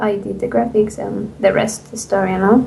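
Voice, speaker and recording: With a non-native accent, a woman speaks amid noticeable background noise and audible room echo. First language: not English. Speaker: indie game developer. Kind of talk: interview. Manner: halting.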